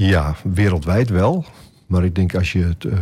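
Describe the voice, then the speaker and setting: On a very clean recording with a silent background, a man speaks with a very deep, low pitch, a dark, mellow tone, a somewhat breathy quality and fairly even intonation. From Groningen, Netherlands. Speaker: shepherd. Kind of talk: radio interview. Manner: hesitant, many filler sounds.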